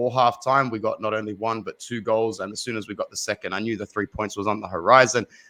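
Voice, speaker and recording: A man talking at a very fast pace with hardly any pauses, bright and sharp in tone, with fairly even intonation, over a quiet background. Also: dry, close sound with no echo. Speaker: football fan commentator. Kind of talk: casual chat.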